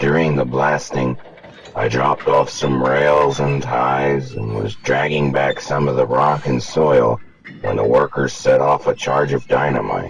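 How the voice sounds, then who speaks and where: Using a put-on character voice, a man booms at a very deep, low pitch and a moderate pace. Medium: read story.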